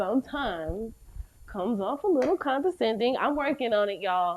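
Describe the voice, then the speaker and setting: A woman speaks with a slight Southern US accent and lively intonation. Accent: slight Southern drawl. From US South. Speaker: podcast host. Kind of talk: casual chat.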